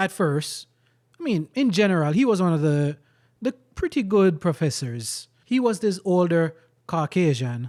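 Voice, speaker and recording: A man's high-pitched voice with a Jamaican accent, very wide pitch swings, very even loudness and a moderate pace, on a very clean recording with a silent background. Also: dry, close sound with no echo. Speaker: vlogger. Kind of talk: personal storytelling monologue. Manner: animated.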